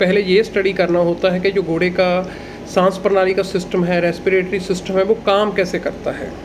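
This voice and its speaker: Amid noticeable background noise, a man with a high pitch speaks at a moderate pace in a monotone, flat intonation. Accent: Punjabi. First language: Punjabi (speaking Hindi). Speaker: agricultural educator, livestock and horse expert. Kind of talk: tutorial.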